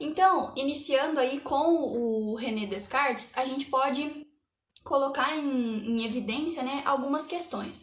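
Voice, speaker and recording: A woman speaks at a fairly slow pace with a high pitch and ordinary pitch variation. Audible room echo surrounds her voice. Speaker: history student teacher. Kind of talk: lecture.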